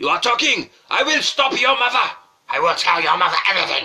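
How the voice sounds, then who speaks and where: Using a put-on character voice, a man speaks at a fairly quick pace with an extremely high pitch. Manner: threatening.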